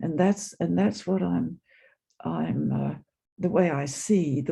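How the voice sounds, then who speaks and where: A man's medium-pitched voice, dark and mellow, with vocal fry, very wide pitch swings and a fairly slow pace. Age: 80s+. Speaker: attendee sharing in Q&A, psychoanalyst and former nurse. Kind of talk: casual sharing in online discussion. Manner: halting, many repetitions.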